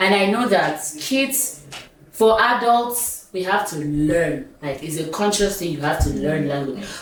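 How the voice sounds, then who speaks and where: Over noticeable background noise, a woman at medium pitch speaks fairly slowly with very wide pitch swings. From Nigeria (south: Calabar, Uyo, Enugu). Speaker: talk show host. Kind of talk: casual chat.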